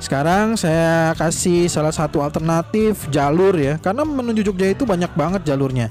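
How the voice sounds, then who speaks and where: Faint music plays behind a man talking at a fairly quick pace with hardly any pauses. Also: dry sound with no echo. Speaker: family travel vlogger. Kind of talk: casual vlog chat. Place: car. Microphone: phone near.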